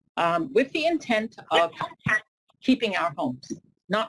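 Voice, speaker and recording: A woman talks at a fairly slow pace, and her pitch swings very widely. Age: 70s. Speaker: character witness at sentencing. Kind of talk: courtroom statement. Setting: courtroom.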